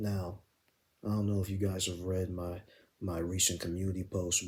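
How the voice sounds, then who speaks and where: A quiet, somewhat breathy whisper from a man at a moderate pace. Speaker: gaming commentary youtuber. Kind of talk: video commentary monologue. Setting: at home at night. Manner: near-whisper, quiet.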